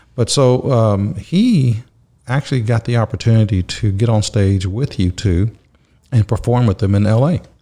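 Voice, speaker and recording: Somewhat breathy and very even in loudness, a man's dark, mellow, medium-pitched voice carries an American accent. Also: ordinary pitch variation, moderate pace. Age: 50s. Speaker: restaurant business owner. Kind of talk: casual chat. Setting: office.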